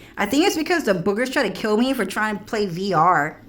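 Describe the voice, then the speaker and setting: A woman talks at a moderate pace in an animated tone, her pitch swinging very widely, with audible room echo around her. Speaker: streamer. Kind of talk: casual livestream monologue.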